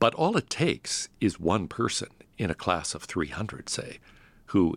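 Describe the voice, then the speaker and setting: The recording is very clean, with a silent background. On it, a man speaks with an American accent. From US Northeast (Pittsburgh, Connecticut). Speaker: philosophy professor. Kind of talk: interview.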